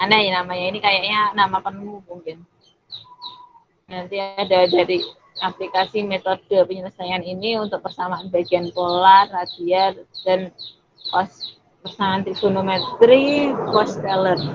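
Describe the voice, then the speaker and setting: In an ordinary speaking voice, a woman speaks at a fairly slow pace with a medium pitch and fairly even intonation. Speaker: university student mentor. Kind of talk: online tutorial presentation. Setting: video call.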